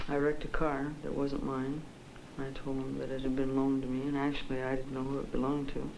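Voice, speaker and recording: Noticeable background noise sits behind a woman talking at a very fast pace. Her very deep, low voice stays monotone and flat. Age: 20s. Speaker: psychiatric patient. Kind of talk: interview answer. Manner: lucid, clear, standard English.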